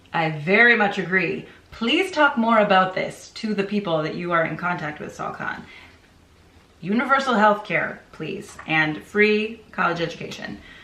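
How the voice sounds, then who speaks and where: A woman's medium-pitched voice with lively intonation, audible room echo and noticeable background noise. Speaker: book reviewer and teacher. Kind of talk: casual book review. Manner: animated; fast.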